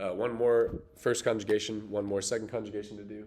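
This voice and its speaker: A man talks in a space with audible room echo as noticeable background noise continues. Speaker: teacher. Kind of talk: tutorial.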